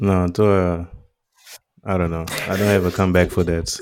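His voice is very deep and low. The man speaks in a flat monotone. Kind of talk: casual chat. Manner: code-switching Portuguese and English.

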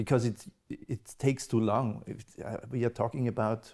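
A man with an Austrian accent, somewhat breathy, at medium pitch and moderate pace, with fairly even intonation. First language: German. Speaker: podcast host and event moderator. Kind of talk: interview. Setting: live event with audience. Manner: halting.

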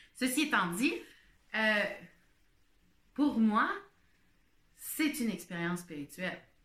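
A woman with a Quebec accent and a fairly high, bright, sharp voice, very slow in pace with long, frequent pauses and very wide pitch swings. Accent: Québécois French. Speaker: podcaster. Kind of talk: casual monologue. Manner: halting.

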